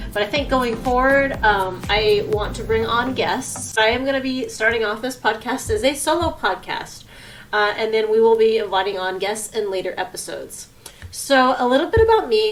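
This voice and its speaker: At a moderate pace and a fairly high pitch, a woman speaks with audible room echo and noticeable background noise. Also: ordinary pitch variation. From US West Coast, San Francisco Bay Area. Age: 30s. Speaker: podcast host. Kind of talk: solo personal podcast monologue. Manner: casual with frequent fillers (um, uh).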